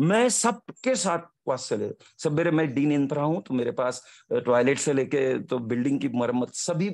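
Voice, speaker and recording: A man's fairly high voice with lively intonation against a quiet background. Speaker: engineering professor. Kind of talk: testimony. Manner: animated.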